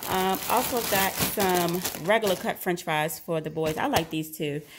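A woman's voice at a moderate pace with ordinary pitch variation, over noticeable background noise. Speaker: vlogger mother. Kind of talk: casual grocery haul vlog chat. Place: kitchen. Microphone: phone near.

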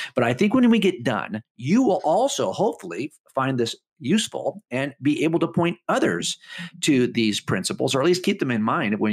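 This voice has very wide pitch swings and vocal fry over a quiet background. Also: man. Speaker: guest radio host. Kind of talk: radio show monologue. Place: studio.

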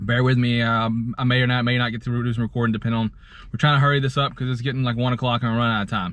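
The recording of the man is dry, with no echo at all. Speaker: thrift reseller vlogger. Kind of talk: casual vlog chat. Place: car. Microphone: phone near.

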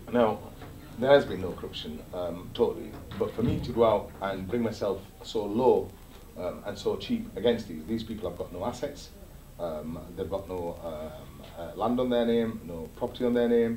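Against light background noise and audible room echo, a man speaks at a moderate pace with a fairly low pitch and ordinary pitch variation. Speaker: interviewee. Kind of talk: interview answer. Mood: defensive, dismissive of accusations. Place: office.

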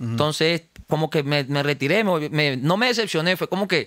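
A man's fairly high voice at a fairly quick pace, dry with no echo, over a quiet background. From Venezuela, Los Teques; Venezuela. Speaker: rapper; guest. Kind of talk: casual interview. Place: studio. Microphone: studio mic.

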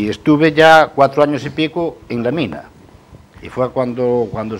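The pace is fairly slow, with ordinary pitch variation. Noticeable background noise can be heard. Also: man. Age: 60s. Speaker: coal truck driver; guest. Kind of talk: TV panel discussion. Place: studio. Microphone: lapel.

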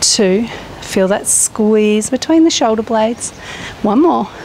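A woman with a fairly high pitch and ordinary pitch variation speaks at a moderate pace in a calm tone, with a dry sound with no echo and light background noise. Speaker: fitness instructor. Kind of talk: exercise class instruction, guided workout. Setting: outdoors at campsite. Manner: encouraging, calm; upbeat, casual, chatty. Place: garden.

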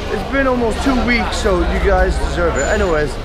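Someone speaks at a fairly quick pace. Music plays clearly in the background. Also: man. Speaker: vlogger. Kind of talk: casual vlog chat. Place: street. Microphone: phone near.

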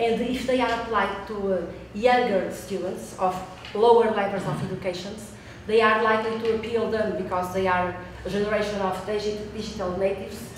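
Speaking in a Portuguese accent, a woman has a medium pitch and monotone, flat intonation at a moderate pace, with audible room echo and light background noise. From Portugal. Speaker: researcher. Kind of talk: conference presentation. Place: meeting room.

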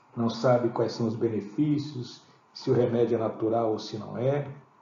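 At a moderate pace and with ordinary pitch variation, a man talks amid noticeable background noise and audible room echo. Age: 60s. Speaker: product promoter. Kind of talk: sales pitch. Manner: halting.

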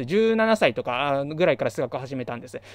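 A man talks at a very fast pace against a quiet background, with dry sound and no echo. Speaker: math education YouTuber. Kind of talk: solo lecture-style talk. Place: home room. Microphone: studio mic.

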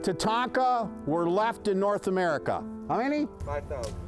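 At a fairly slow pace, a man speaks in a dry sound with no echo while clear music plays in the background. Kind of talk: tour guide talk to a group. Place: farm machine.

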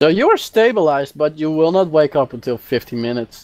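Big pitch swings mark a man's fairly high voice as he talks at a fairly quick pace.

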